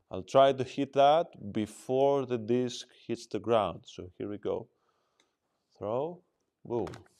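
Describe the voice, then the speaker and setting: A man speaks at a very slow pace and a medium pitch, pausing long and often. His pitch variation is ordinary, while his loudness swings widely. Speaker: disc dog trainer. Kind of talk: demonstration tutorial. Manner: casual, thinking aloud.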